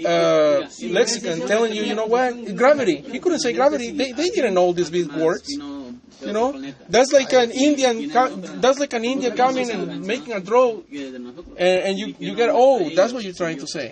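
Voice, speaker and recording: Over noticeable background noise, a man with a non-native accent talks at a moderate pace in a high pitch with very wide pitch swings. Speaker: debater. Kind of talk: heated debate. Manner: halting.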